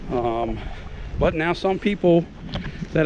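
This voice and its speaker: A man talks at a very slow pace. Noticeable background noise runs beneath him. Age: 50s. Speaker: YouTube vlogger, military veteran. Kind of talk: casual vlog monologue. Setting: outdoors, out walking. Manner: halting, many fillers and repetitions.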